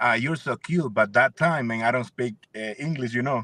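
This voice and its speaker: A man speaks at a medium pitch with ordinary pitch variation and a Spanish accent. His tone is bright and sharp, and the sound is dry and close with no echo. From El Salvador, San Miguel. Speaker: singer and producer. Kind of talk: interview. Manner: halting.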